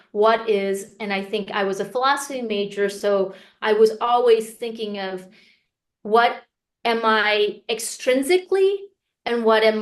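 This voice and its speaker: With an American accent, a woman speaks at a fairly slow pace in a fairly high pitch, a plain, everyday voice. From US (Korean American, Texas). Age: 40s. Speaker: memoirist. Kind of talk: interview.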